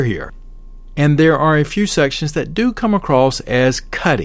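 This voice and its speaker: A man with a Southern US accent talks at a fairly high pitch with lively intonation. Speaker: podcast host, martial arts teacher. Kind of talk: podcast episode with book review and sponsor read.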